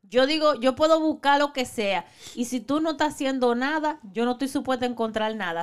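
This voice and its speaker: With a high pitch, a woman talks using lively intonation. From Dominican Republic. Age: 40s. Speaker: podcast co-host. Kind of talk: casual chat. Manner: animated.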